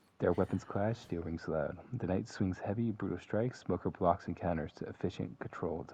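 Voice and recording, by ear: Someone is reading aloud in a natural voice, the pitch varying in an ordinary way.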